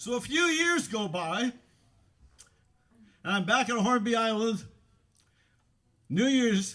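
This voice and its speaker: Very slow speech from a man with very wide pitch swings. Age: 60s. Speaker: storyteller. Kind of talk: storytelling.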